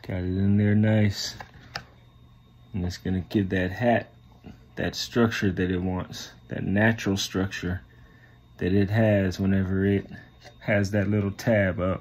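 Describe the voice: A man's low, slightly mellow voice at a fairly slow pace, with little pitch movement and long, frequent pauses.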